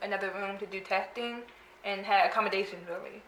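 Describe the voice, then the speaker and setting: The speech comes very fast, with audible room echo and noticeable background noise. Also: woman. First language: American Sign Language. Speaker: interviewee with hearing loss. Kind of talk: casual interview.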